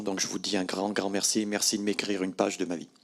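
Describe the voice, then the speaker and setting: A man talks at a moderate pace and fairly low pitch. His intonation is monotone and flat. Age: 60s. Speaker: retired factory worker. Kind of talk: testimony.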